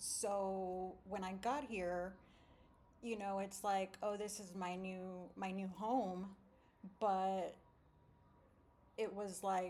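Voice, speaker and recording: The voice has a dark, mellow tone and an American accent, moving at a very slow pace with long, frequent pauses. Its intonation is monotone and flat, with audible room echo. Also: woman, medium pitch for a woman. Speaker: deported vlogger. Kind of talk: casual monologue. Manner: halting, many fillers.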